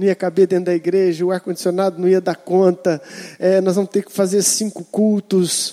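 An animated voice with a Brazilian accent moves at a moderate pace, the sound dry and close with no echo. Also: man. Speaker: preacher. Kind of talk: sermon. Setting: church. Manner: animated, exhortative preaching with calls for 'amém' from the congregation.

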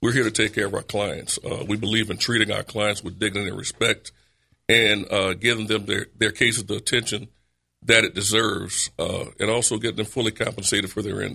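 A man with a New Orleans accent speaks at a fairly quick pace, his fairly low voice bright and sharp in tone with monotone, flat intonation. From New Orleans, Louisiana. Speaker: personal injury lawyer. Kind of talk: casual chat.

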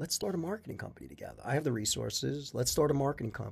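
A man with an American accent, vocal fry, and lively intonation, on a very clean recording over a silent background. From Long Island, New York. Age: 50s. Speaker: corporate lawyer and business owner. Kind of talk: casual interview chat.

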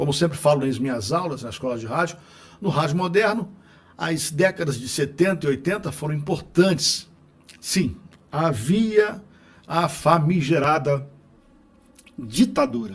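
With lively intonation, a man speaks at a fairly high pitch and a fairly slow pace. He takes long, frequent pauses. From Rio de Janeiro. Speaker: radio announcer and podcast host. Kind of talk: narrated book reading with casual asides. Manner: trained announcer delivery.

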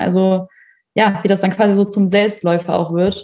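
Somewhat breathy and dark, mellow in tone, a woman speaks at a moderate pace with fairly even intonation. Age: 20s. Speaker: university student and working student. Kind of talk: casual interview chat.

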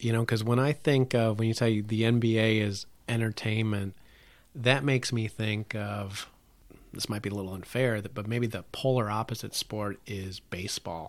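A man's medium-pitched, plain, everyday voice, moderate pace, fairly even intonation, very clean recording with a silent background. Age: 50s. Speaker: podcast host and marketing professor. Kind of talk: casual chat.

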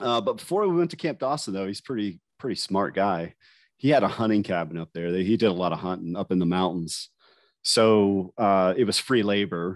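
A man with an American accent uses an ordinary speaking voice, fairly low in pitch with ordinary pitch variation. The background is quiet. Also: moderate pace. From West Virginia, US. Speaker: special forces veteran and sniper. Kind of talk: interview recounting combat stories. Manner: casual, conversational.

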